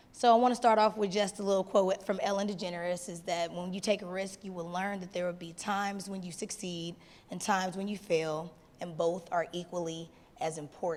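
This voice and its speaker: Her medium-pitched voice moves at a fairly quick pace with fairly even intonation and big swings in loudness. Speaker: business coach. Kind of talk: short stage talk. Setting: stage with audience.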